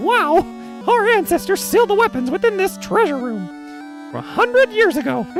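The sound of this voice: A man puts on a character voice pitched extremely high. Music plays clearly behind him. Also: moderate pace.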